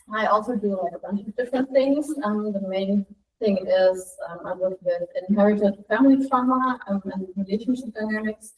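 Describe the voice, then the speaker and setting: A woman with a German accent talks in a fairly high pitch with ordinary pitch variation. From Germany. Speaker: trauma and intuition coach. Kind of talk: self-introduction in group meeting.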